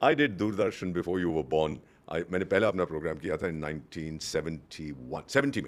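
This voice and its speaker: Over a very clean, silent background, a man speaks at a very deep, low pitch with vocal fry and lively intonation. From India. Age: 70s. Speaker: retired diplomat. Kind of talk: interview. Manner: code-switching Hindi-English.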